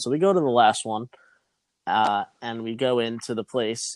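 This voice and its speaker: A man's normal speaking voice, medium in pitch, at a moderate pace, with a dry, close sound and no echo. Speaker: podcast co-host. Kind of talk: casual chat.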